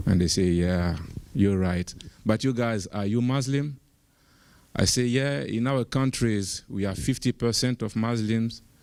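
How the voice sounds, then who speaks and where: A man's medium-pitched voice with an American accent, fairly slow and with ordinary pitch variation, on a very clean recording with a silent background. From Burkina Faso. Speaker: panel speaker, activist. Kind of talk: panel discussion storytelling. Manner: halting, many fillers and repeats.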